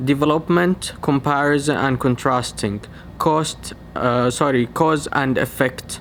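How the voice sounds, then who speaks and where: Speaking very slowly with a non-native accent, this man has a fairly high pitch and a fairly even intonation. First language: not English. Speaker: medical researcher / educational YouTuber. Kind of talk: tutorial.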